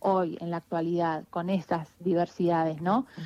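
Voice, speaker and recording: A woman speaks with a dry, close sound and no echo. The background is quiet. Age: 30s. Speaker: writer and researcher. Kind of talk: interview. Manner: halting.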